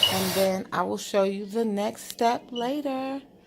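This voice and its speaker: Over noticeable background noise, a woman speaks at a very slow pace with a fairly high pitch and ordinary pitch variation. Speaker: lifestyle vlogger. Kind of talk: casual home vlog narration.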